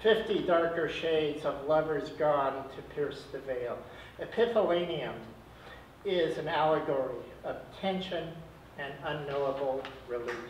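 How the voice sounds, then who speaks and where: Here a man talks at a fairly slow pace with long, frequent pauses, his pitch fairly high with ordinary variation. Audible room echo and light background noise fill the recording. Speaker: poet. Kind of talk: spoken word poetry reading at an open mic, dark surreal chapters read aloud. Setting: stage with audience. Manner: incantatory, rhythmic declamation of lurid imagery; breaks off with self-deprecating laughing asides between pieces. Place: shop. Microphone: camera far.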